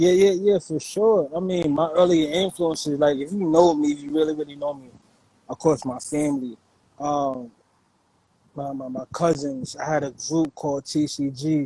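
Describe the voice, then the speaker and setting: A man with a fairly high pitch and a New York accent, moderate pace, fairly even intonation, big swings in loudness. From New York City, Brooklyn; later Virginia. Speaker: hip-hop producer. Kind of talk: interview conversation. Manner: casual, filler-heavy.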